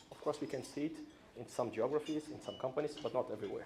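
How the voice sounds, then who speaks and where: A somewhat breathy man with a Brazilian accent speaks in a dark, mellow tone. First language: Portuguese. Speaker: corporate safety executive. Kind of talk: conference speech. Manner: hesitant with fillers.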